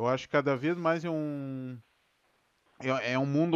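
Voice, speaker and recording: A man's fairly high-pitched, an ordinary speaking voice, moderate in pace and ordinary in pitch variation. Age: 30s. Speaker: podcast host, IT support public servant. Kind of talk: casual chat. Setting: home studio.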